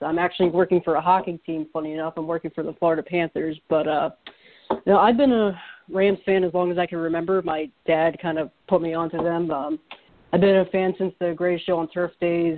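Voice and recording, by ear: With an American accent, a man speaks at a fairly quick pace with little pitch movement.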